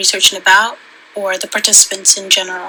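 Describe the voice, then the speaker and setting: Over noticeable background noise, a soft-spoken woman talks at a medium pitch. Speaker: student. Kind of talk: class assignment vlog. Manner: halting.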